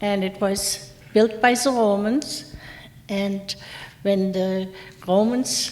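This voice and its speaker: Noticeable background noise runs under a woman's medium-pitched voice with fairly even intonation. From Germany, Mainz. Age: 70s. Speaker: war survivor. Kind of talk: lecture; testimony.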